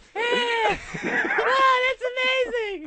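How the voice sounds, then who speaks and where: An extremely high-pitched, put-on character voice. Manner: cheerful, shallow.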